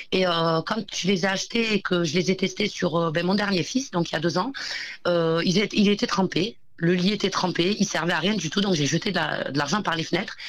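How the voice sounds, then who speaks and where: This woman has an unremarkable speaking voice at a medium pitch, with ordinary pitch variation. She keeps a moderate pace and very even loudness. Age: 30s. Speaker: entrepreneur, company founder. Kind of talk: interview.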